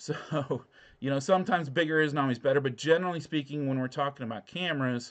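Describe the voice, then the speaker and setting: Using ordinary pitch variation, a man speaks fairly quickly in a fairly high pitch. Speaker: drone channel host. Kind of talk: live call-in stream. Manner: halting, stumbles over words.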